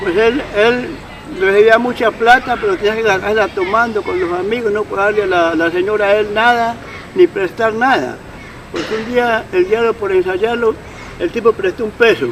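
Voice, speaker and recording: Over crowd noise in the background, a man speaks in a high pitch with ordinary pitch variation. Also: moderate pace. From Colombia, Patía valley (Cauca). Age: 70s. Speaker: elderly local storyteller. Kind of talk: interview testimony. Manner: halting.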